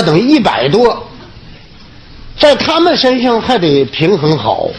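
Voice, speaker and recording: A man at a fairly slow pace with very wide pitch swings over noticeable background noise. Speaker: comedian. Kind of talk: public speech. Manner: humorous.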